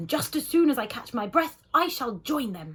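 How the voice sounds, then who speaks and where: A growling, high-pitched put-on character voice at a moderate pace, with very wide pitch swings. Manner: weak, faint.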